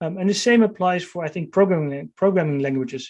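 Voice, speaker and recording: A man with a high pitch and a Dutch accent, ordinary pitch variation, and a fairly quick pace. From Netherlands. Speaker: author and tech strategist. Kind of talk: interview. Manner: halting, many fillers and repeats.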